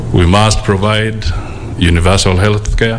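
A man's very deep, low voice at a fairly slow pace over light background noise. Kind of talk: formal speech. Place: hall. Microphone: podium.

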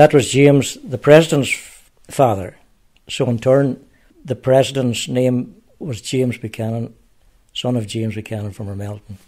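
In a Donegal accent, a man speaks at a moderate pace and medium pitch, his tone dark and mellow with ordinary pitch variation. Long, frequent pauses and big swings in loudness come through on a very clean recording with a silent background. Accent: Donegal Irish. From Ireland, Ramelton, County Donegal. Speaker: local historian. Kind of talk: interview. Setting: outdoors.

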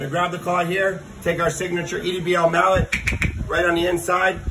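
Delivery is fairly quick. Behind it, background noise is clearly audible. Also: man. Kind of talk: tutorial. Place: open country. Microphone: phone near.

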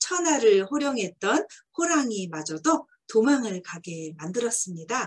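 Against a quiet background, a woman talks. Her fairly slow delivery has very wide pitch swings. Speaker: book reviewer or storyteller. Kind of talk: book talk commentary. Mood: warm, animated. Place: home room. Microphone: webcam.

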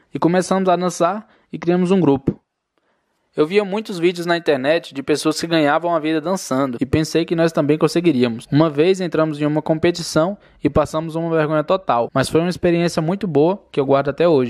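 A man's plain, everyday voice, fairly high in pitch with fairly even intonation, at a fairly quick pace on a very clean recording with a silent background. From Brazil, Federal District (Samambaia). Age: 20s. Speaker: YouTuber. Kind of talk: personal storytelling narration.

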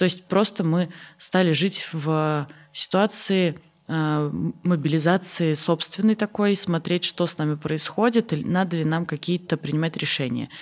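Fairly slow pace from a woman, fairly low in pitch, with ordinary pitch variation. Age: 30s. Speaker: charity foundation director; guest. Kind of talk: interview. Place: studio. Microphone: studio mic.

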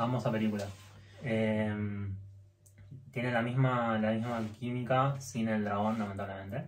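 A man speaks at a fairly slow pace in a fairly low voice with fairly even intonation, and strong room echo surrounds him.

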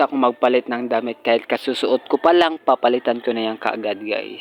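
A man at a fairly quick pace with ordinary pitch variation, a plain, everyday voice, and a dry, close sound with no echo. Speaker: vlogger. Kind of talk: casual vlog narration. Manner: chatty, upbeat.

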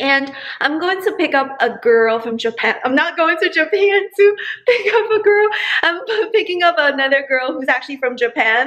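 At a moderate pace, a woman talks with a high pitch. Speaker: vlogger. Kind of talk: casual vlog chat. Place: kitchen. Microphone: phone near.

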